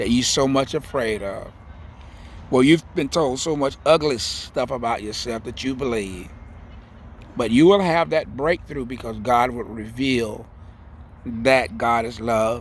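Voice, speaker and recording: At a very slow pace with long, frequent pauses, a man talks with a Southern US accent and ordinary pitch variation. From US South, Central Florida. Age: 70s. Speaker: spiritual vlogger. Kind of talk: spiritual monologue. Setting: outdoors, in a garden.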